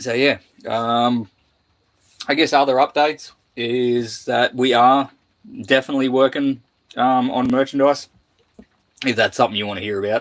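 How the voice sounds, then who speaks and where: A man with an Australian accent speaks at a moderate pace and medium pitch. His intonation is fairly even, broken by long, frequent pauses. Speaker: boat restoration youtuber. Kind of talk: casual live stream chat. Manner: halting, many fillers.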